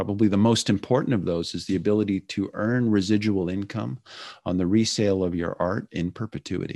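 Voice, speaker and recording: A man speaks with an American accent at a fairly low pitch. His is a plain, everyday voice with ordinary pitch variation. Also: quiet background. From California. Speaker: startup founder and former Marine. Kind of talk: interview.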